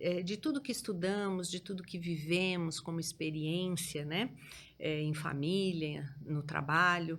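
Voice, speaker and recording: At a fairly slow tempo, an ordinary speaking voice carries ordinary pitch variation. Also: woman, fairly low pitch for a woman. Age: 60s. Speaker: entrepreneur, franchise owner. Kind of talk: podcast interview.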